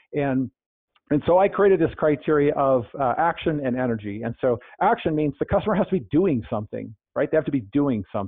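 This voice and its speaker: Fairly quick, lively speech from a man with an American accent, fairly high in pitch, in an ordinary speaking voice. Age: 50s. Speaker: sales author, healthcare sales professional. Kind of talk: podcast interview. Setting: phone call.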